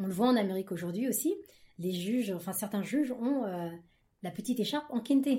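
Breathing somewhat audibly, a woman with a dark, mellow tone talks at a fairly quick pace with lively intonation and long, frequent pauses. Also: fairly high pitch for a woman. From France, Paris region, Ghanaian heritage. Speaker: book club guest. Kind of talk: casual chat.

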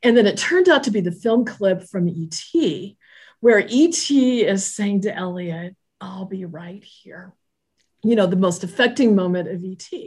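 A somewhat breathy woman with an American accent speaks at a fairly slow pace and medium pitch, using lively intonation and big swings in loudness against a quiet background. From Southern California. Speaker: church leader. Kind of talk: casual interview.

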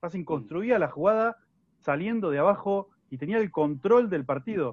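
Here a man has a plain, everyday voice. He speaks at a moderate pace with lively intonation. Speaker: sports journalist. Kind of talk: casual football analysis chat.

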